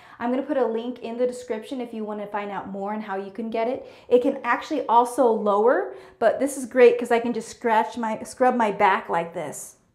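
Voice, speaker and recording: A woman talks in a high pitch with ordinary pitch variation and big swings in loudness, with hardly any pauses. The background is quiet, with audible room echo. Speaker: home tour host. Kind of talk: casual tutorial vlog. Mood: upbeat and grateful. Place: bathroom.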